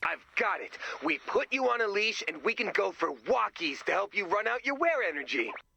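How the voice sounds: Putting on a character voice, a man pitches high with big pitch swings and a bright, sharp tone. Vocal fry and a slightly husky edge color his speech. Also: moderate pace.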